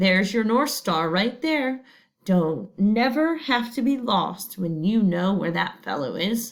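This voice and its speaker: Soft-spoken, a woman uses a put-on character voice at a medium pitch and a fairly slow pace. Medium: read story. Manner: soft, low.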